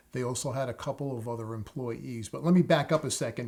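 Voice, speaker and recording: This man has a New York accent. His intonation is fairly even. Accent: New York area American. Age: 60s. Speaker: plumber, tutorial channel host.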